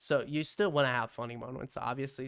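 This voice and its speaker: Soft-spoken and relaxed in tone, a man talks at a moderate pace in a medium pitch with fairly even intonation, on a very clean recording with a silent background. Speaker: content creator tutorial maker. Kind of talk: tutorial. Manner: casual, relaxed.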